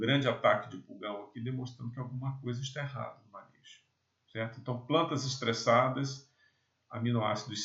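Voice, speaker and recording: An unremarkable speaking voice from a medium-pitched man, moderate in pace, fairly even in intonation, with big swings in loudness. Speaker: agronomy lecturer. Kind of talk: lecture.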